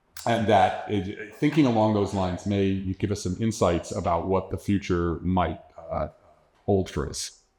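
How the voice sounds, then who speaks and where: Speaking at a moderate pace, a man has a dark, mellow tone, a fairly low pitch and ordinary pitch variation. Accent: New York. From New York metropolitan area. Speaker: astrobiologist, keynote speaker. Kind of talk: lecture.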